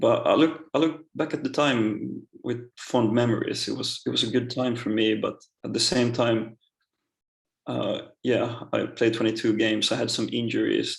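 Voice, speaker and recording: Someone speaks at a moderate pace in a Swedish accent. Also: man. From Finland, Swedish-speaking. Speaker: professional footballer. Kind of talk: interview. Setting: podcast. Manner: halting.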